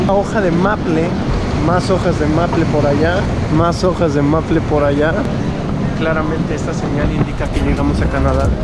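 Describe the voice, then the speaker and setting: Through loud background noise, a man speaks at a moderate pace, broken by long, frequent pauses. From Mexico. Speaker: travel vlogger. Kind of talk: casual travel vlog talk to camera. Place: station. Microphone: phone near.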